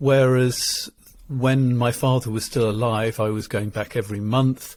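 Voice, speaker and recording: Speaking at a fairly slow pace with an English accent, a man keeps a monotone, flat intonation in a very clean recording with a silent background. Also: medium pitch for a man. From England. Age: 60s. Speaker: marital therapist. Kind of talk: interview conversation.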